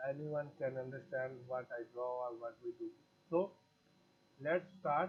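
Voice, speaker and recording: Speaking with a Pakistani accent, a man with a fairly high, somewhat breathy voice talks at a fairly slow pace with ordinary pitch variation and long, frequent pauses. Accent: South Asian (Pakistani) English. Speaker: graphic design teacher. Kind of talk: tutorial. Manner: halting, with frequent fillers.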